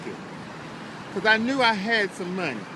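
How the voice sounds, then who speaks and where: Over noticeable background noise, a man speaks in a raised, projected voice. His pitch is high, with ordinary variation. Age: 70s. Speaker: homeless man in a wheelchair. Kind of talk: casual chat. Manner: halting.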